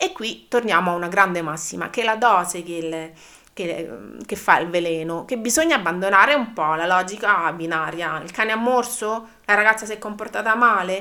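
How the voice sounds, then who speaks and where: Bright and sharp in tone, a woman speaks at medium pitch and a moderate pace, with ordinary pitch variation and big swings in loudness. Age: 40s. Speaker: dog trainer. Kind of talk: educational podcast monologue. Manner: halting.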